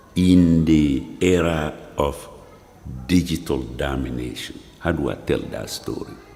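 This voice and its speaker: Audible room echo surrounds a man's very deep, low voice. He talks at a fairly slow pace with ordinary pitch variation. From Mali. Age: 70s. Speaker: professor and filmmaker. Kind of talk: film narration.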